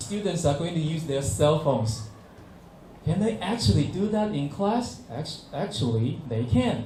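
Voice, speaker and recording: Lively intonation and a fairly high pitch mark this man's speech in a Chinese accent, heard with audible room echo. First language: Mandarin Chinese. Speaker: English teacher. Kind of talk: workshop presentation. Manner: halting, frequent fillers.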